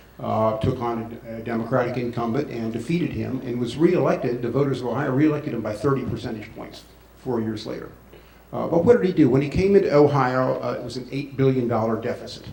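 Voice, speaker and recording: There is audible room echo as a man talks at a very fast pace with big swings in loudness. His pitch is medium with ordinary variation. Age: 60s. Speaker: former congressman and campaign surrogate. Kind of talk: forum speech.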